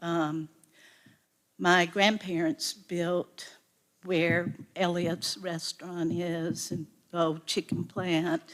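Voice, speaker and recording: A woman's fairly low voice in a Southern US accent, monotone, flat intonation, a very slow pace and long, frequent pauses. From US South, North Carolina (Pinehurst area). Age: 60s. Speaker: local resident speaking at public meeting. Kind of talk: public comment at zoning meeting. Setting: public board meeting. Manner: halting.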